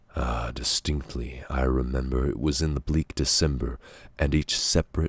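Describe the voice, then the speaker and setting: Somewhat breathy and very deep, a man's voice moves at a fairly slow pace in a monotone, flat intonation, the sound dry and close with no echo. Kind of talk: poetry reading.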